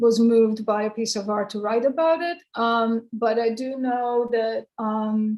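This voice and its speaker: With a Croatian accent, a woman talks at a fairly slow pace in a fairly high pitch, her intonation fairly even. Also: hardly any pauses. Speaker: poet. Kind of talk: Q&A interview. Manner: halting.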